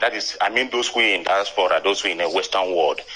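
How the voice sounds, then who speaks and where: A man with a Nigerian accent. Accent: Nigerian Igbo English. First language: not English. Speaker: caller. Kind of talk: call-in comment. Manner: halting.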